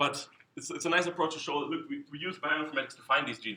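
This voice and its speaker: Speaking at a very fast pace, a man with a German accent has a bright, sharp tone. His pitch varies in an ordinary way. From Germany. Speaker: scientist. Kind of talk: conference talk. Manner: halting, many repetitions.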